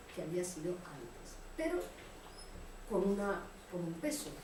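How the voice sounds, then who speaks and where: A woman speaks at a fairly slow pace with very wide pitch swings, noticeable background noise and audible room echo. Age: 60s. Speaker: book author. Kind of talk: book presentation talk. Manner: conversational, with hesitations.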